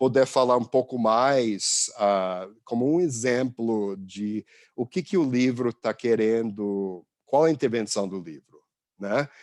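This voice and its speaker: A man's medium-pitched voice with an English accent, at a very slow pace with ordinary pitch variation, over a quiet background. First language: English (speaking Portuguese). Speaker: visiting professor. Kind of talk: lecture. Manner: halting, many fillers and restarts.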